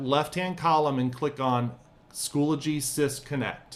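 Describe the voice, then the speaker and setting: A man speaks at a fairly slow pace in an unremarkable speaking voice, fairly high in pitch. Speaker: teacher trainer. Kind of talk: tutorial.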